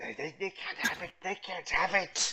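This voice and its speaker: This is a put-on character voice. It sounds female. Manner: obsessive, possessive.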